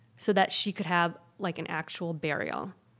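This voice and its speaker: In a very clean recording with a silent background, a woman uses a normal speaking voice, medium in pitch with ordinary pitch variation, at a moderate pace. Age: 40s. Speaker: pediatrician and public health physician. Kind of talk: casual chat.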